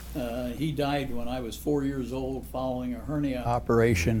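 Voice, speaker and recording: A man's very deep, low voice with an American accent, very wide pitch swings, a fairly slow pace, and audible room echo. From US Midwest, Indiana. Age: 80s+. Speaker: retired plastic surgeon. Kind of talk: oral history interview.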